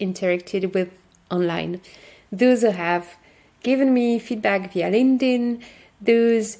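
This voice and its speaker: A woman speaks at a fairly slow pace. Her pitch is fairly high, and her intonation stays fairly even. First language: French. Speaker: podcast host, workshop facilitator. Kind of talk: podcast monologue. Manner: halting.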